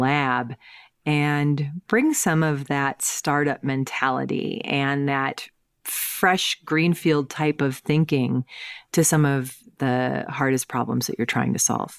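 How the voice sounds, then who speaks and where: A woman with an American accent talks at a fairly slow pace, her very deep, low pitch moving with ordinary variation. The recording is very clean with a silent background, and the sound is dry and close with no echo. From US Midwest, St. Louis, Missouri. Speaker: tech executive, chief innovation officer. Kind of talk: interview. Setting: podcast.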